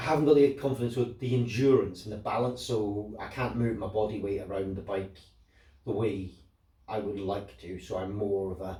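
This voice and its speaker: A man with a Scottish accent speaks at a moderate pace in a fairly low, somewhat breathy voice with ordinary pitch variation, and room echo is audible. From Scotland. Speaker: motorcycle owner selling his bike. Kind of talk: casual vlog monologue. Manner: halting, many repetitions and fillers.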